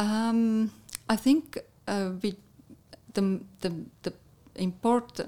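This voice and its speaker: A woman with an Estonian accent speaks at a very slow pace. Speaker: national tourism head. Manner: halting.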